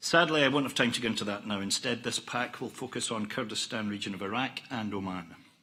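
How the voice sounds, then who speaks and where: In a Scottish accent, a man talks at a very fast pace with hardly any pauses and a bright, sharp tone. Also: medium pitch for a man, ordinary pitch variation. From Scotland. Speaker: oil company executive. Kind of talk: conference presentation. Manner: formal.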